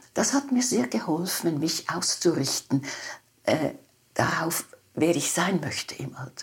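Over noticeable background noise, a woman speaks at a fairly low pitch with very wide pitch swings. Her pace is fairly slow, broken by long, frequent pauses. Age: 90s. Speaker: psychotherapist and author. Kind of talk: interview conversation.

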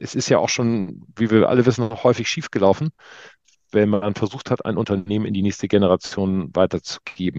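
A man speaks in a normal speaking voice with ordinary pitch variation. The sound is dry and close with no echo against a quiet background. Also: fairly low pitch for a man. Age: 50s. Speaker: fashion retail business owner. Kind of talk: interview.

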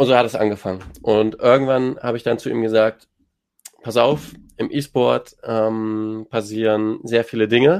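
A man speaks at a fairly slow pace. His medium-pitched voice has fairly even intonation. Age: 20s. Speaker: esports team manager and agency co-founder. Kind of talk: panel discussion. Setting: online audio space.

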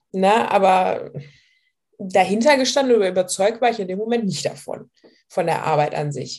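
A woman's medium-pitched, lively voice at a moderate pace, broken by long, frequent pauses. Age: 20s. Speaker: weight loss client sharing her story. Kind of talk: interview testimony. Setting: video call.

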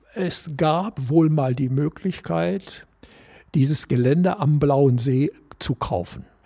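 A man with a fairly high pitch speaks very slowly in a dark, mellow tone with lively intonation. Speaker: former golf club board member. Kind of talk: panel discussion. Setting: clubhouse.

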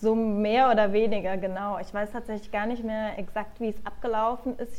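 A woman speaks in a plain, everyday voice at a moderate pace. Her pitch is fairly high. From Germany, Nuremberg (Franconia). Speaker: PR agency worker, emigrant. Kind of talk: casual interview chat. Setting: remote call.

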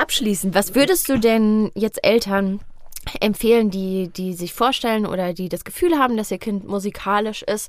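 With an unremarkable speaking voice, a woman speaks at a moderate pace in a fairly high pitch, using ordinary pitch variation. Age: 20s. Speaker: podcast host. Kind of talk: casual interview. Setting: studio.

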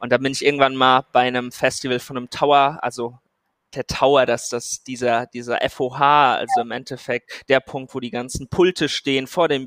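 A man's medium-pitched monotone at a moderate pace, dry and close with no echo, on a very clean recording with a silent background. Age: 20s. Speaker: AI startup founder. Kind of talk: interview.

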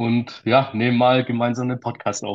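Monotone, flat intonation marks this man's medium-pitched delivery. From Swabia, Germany. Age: 20s. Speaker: financial planning entrepreneur. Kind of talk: interview storytelling.

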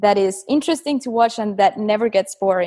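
Fairly high in pitch, a woman speaks in an ordinary speaking voice with ordinary pitch variation. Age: 20s. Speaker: calisthenics athlete. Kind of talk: interview.

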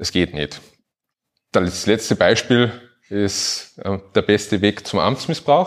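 At a very slow pace broken by long, frequent pauses, a man with a fairly low voice speaks with lively intonation. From Upper Austria. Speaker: administrative lawyer. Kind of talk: live podcast talk before audience. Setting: stage with audience.

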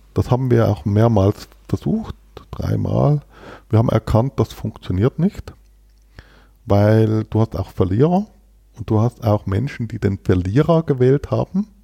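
Lively in intonation yet fairly slow, a man speaks at a medium pitch in a dark, mellow tone with long, frequent pauses and a dry, close sound with no echo. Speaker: company founder and president. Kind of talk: interview conversation. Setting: studio in Berlin.

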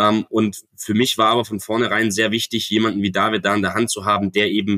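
A man talks at a fairly low pitch in a bright, sharp tone. The sound is dry and close with no echo, on a very clean recording with a silent background. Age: 20s. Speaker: real estate agent and company co-founder. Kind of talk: podcast interview.

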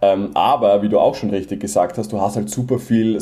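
Speaking at a moderate pace with a slight Viennese accent, this voice comes through over noticeable background noise. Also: man. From Vienna, Austria. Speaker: Amazon seller. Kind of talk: casual interview.

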